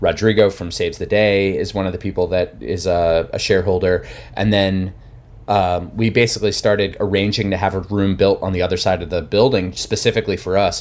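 A man with an American accent and a plain, everyday voice speaks at a fairly low pitch with fairly even intonation in a very clean recording with a silent background. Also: fairly quick pace. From New Jersey, near Philadelphia. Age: 30s. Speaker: musician. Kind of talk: casual chat.

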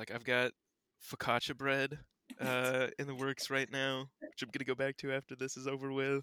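Bright and sharp in tone, a man's voice comes through dry and close with no echo. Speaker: youth group student. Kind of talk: casual chat.

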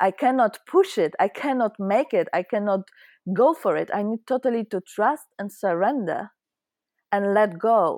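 A woman with a Polish accent talks at a moderate pace with lively intonation, on a very clean recording with a silent background and a dry, close sound with no echo. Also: medium pitch for a woman. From Poland. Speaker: spiritual teacher. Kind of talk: interview. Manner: halting.

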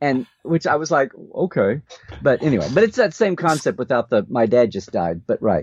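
A man with an American accent talks at a moderate pace in a fairly high voice, with vocal fry and very wide pitch swings. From Oklahoma. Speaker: podcast co-host, Star Trek expert. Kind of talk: casual chat. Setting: live stream.

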